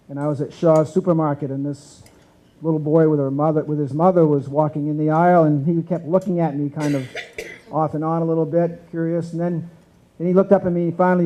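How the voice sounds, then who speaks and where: A man with an American accent talks at a very fast pace. His voice is fairly high, with fairly even intonation. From central Maine, US. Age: 60s. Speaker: former politician and businessman. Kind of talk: breakfast keynote speech.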